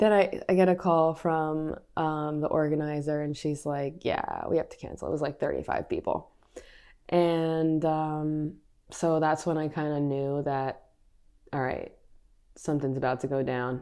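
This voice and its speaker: A woman with an American accent, very deep and low in pitch, dark and mellow in tone, at a fairly slow pace. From Brooklyn, New York. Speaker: food tour business owner. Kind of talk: casual chat.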